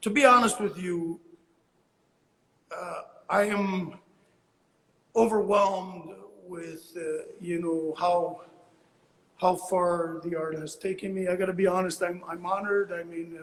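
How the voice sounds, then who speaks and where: A man speaks at a high pitch and a fairly slow pace, with long, frequent pauses. His intonation stays fairly even while his loudness swings a lot. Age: 60s. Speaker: abstract painter. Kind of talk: interview. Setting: Instagram live call. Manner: halting, many fillers and repeats.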